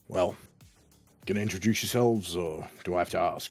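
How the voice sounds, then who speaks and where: With faint music in the background, a man puts on a raspy character voice, speaking at a fairly quick pace with a fairly low pitch and fairly even intonation. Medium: actual play. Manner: blunt, laconic.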